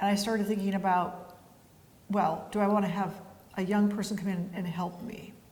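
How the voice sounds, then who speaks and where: Somewhat breathy and monotone, a woman with medium pitch speaks at a moderate pace with long, frequent pauses and flat intonation, with audible room echo. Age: 70s. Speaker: winery founder and winemaker. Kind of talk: interview. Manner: casual, hesitant with fillers.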